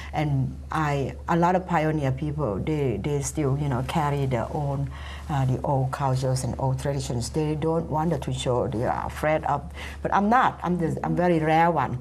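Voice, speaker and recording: A woman at a moderate pace in a Thai accent, with audible room echo and noticeable background noise. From Thailand. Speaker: community activist. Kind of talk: panel discussion. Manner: animated.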